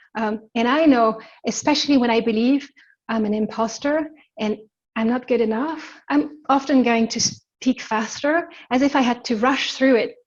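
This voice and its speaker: With an ordinary speaking voice, a woman speaks at a fairly high pitch and a moderate pace, using ordinary pitch variation. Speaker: embodiment coach. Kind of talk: webinar teaching.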